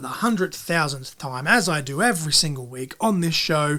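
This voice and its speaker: With an Australian accent, a man talks in very wide pitch swings. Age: 30s. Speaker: podcast host and wrestling commentator. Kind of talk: podcast outro monologue. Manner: fast; animated.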